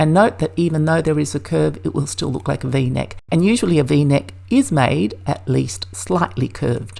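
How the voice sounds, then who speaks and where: With a very deep, low pitch and a dark, mellow tone, a woman speaks at a moderate pace with vocal fry, very wide pitch swings and hardly any pauses. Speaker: sewing pattern maker. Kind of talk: tutorial. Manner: clear, measured instructional.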